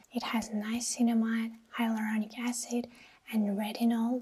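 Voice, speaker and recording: Her intonation stays monotone and flat. The woman talks at a very slow pace. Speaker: beauty content creator. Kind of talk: sponsored product review. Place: home room. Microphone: lapel.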